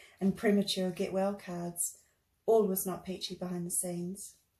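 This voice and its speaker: At a moderate pace, a woman with a New Zealand accent talks in a dark, mellow tone that is somewhat breathy. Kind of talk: reading own memoir.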